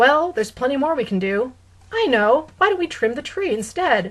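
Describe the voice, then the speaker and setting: Putting on a character voice, a woman hits a high pitch and makes very wide pitch swings. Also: moderate pace. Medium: read story. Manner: amiable, fussy, easily startled.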